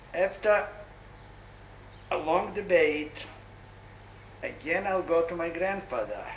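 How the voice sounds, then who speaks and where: A man at a very slow pace with long, frequent pauses, amid noticeable background noise and audible room echo. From Poland. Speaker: Holocaust-era survivor recounting life story. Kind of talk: oral history interview. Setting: son's apartment in Jerusalem.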